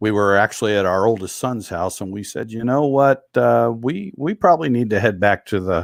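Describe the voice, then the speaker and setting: In a very clean recording with a silent background, a man with a normal speaking voice talks at a moderate pace and a fairly low pitch, using lively intonation and hardly any pauses. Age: 60s. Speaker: retired military veteran. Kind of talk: interview.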